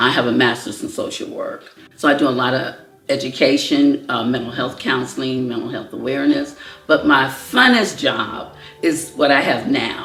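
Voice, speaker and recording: Noticeable background noise and audible room echo are in the recording. Through them, a woman's voice moves at a moderate pace. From US Midwest, Chicago. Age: 70s. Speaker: cancer survivor, social worker. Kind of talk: personal testimony interview.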